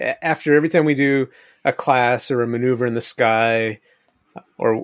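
An ordinary speaking voice from a man at a medium pitch with ordinary pitch variation, in dry, close sound with no echo. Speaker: podcast co-host. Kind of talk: casual chat.

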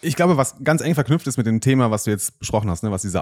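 The recording is very clean, with a silent background. A man speaks in a slightly mellow tone with ordinary pitch variation.

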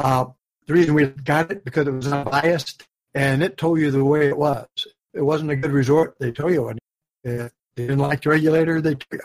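This man has an unremarkable speaking voice, fairly high in pitch, with fairly even intonation and a fairly quick pace. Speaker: co-host, dive instructor mentor. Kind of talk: casual chat podcast.

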